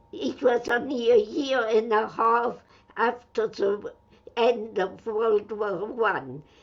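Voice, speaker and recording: Her pace is very slow. The woman's pitch is fairly high, with ordinary variation. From France, Metz (Lorraine). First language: French and German. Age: 100s (80s+). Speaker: Holocaust survivor and former spy. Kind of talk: interview testimony.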